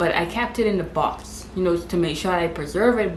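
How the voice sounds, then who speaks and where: A woman's medium-pitched voice in a Bahamian accent, with ordinary pitch variation, audible room echo and noticeable background noise. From Bahamas. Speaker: lifestyle vlogger. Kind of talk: casual vlog talk to camera. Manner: fast.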